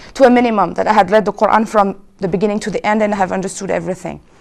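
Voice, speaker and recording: A woman with a French accent, very fast and fairly high in pitch. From France (Paris). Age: 30s. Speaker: convert to Islam. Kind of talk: testimony.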